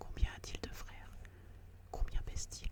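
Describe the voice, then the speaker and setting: With noticeable background noise present, the whispering unfolds at a fairly slow pace. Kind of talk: whispered audiobook reading of a classic story, ASMR. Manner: whispered, soft, slow.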